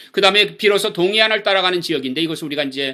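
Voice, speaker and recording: The recording is very clean, with a silent background. A man with a fairly high pitch speaks in a bright, sharp tone with lively intonation. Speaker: missions lecturer. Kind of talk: lecture. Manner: fast.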